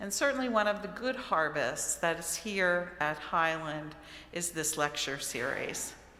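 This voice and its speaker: A woman with an American accent speaks at a fairly low pitch with lively intonation, and audible room echo surrounds her voice. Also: fairly slow pace. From Maryland, US. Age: 60s. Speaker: author and lecturer. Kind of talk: lecture. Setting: church with audience.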